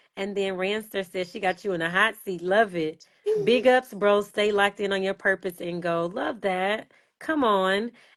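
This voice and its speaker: Against a quiet background, a woman of medium pitch talks at a moderate pace with fairly even intonation in an unremarkable speaking voice. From Los Angeles / Houston. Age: 30s. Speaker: speaker and storyteller. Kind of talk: interview answer.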